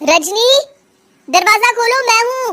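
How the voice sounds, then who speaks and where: In a cartoonish character voice, a woman speaks at an extremely high pitch with lively intonation. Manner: gentle, patient.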